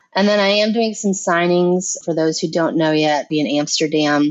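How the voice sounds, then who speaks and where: A woman speaks at a fairly low pitch with lively intonation. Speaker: romance author. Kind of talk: interview. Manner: mumbling.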